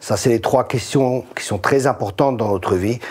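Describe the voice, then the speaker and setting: A man talks with ordinary pitch variation and a moderate pace, noticeable background noise behind him. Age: 60s. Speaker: pastor. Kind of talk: casual chat.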